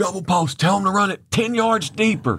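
This man speaks with a Texan accent. His pace is moderate. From Texas. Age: 30s. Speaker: arena football quarterback. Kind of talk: casual interview. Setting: studio. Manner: halting, many fillers.

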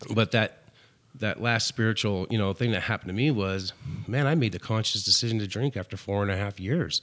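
With an unremarkable speaking voice, a man talks fairly quickly at a fairly low pitch with ordinary pitch variation. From US West Coast (Antioch, near Oakland, California). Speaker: recovery club director. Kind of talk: casual interview, recovery story.

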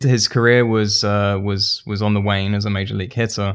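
On a very clean recording with a silent background, a man with a British accent speaks fairly quickly with fairly even intonation. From UK. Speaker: baseball writer and researcher. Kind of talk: casual discussion. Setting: studio.

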